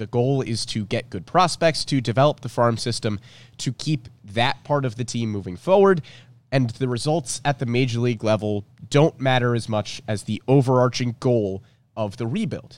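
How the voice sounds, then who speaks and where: Here a man speaks at a moderate pace. His pitch is medium, with ordinary variation. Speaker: sports podcast host. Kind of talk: casual sports talk podcast.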